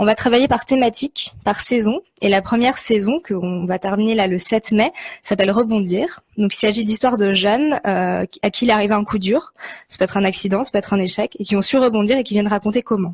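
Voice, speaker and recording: A woman with a somewhat breathy, fairly high voice talks at a fairly quick pace. Her pitch varies in an ordinary way, and the sound is dry and close with no echo. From Switzerland. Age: 20s. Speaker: podcast producer. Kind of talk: interview.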